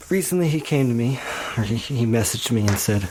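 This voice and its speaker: Lively intonation at a moderate pace, with an American accent. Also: man. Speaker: woodworker guest-hosting a podcast. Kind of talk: casual monologue. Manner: casual, with many fillers.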